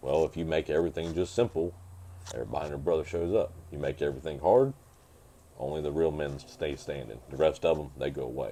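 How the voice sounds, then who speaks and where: A man with a very deep, low pitch, a dark, mellow tone and vocal fry, at a very fast pace with ordinary pitch variation. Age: 30s. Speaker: motocross racer and mechanic. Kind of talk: casual chat. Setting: home podcast.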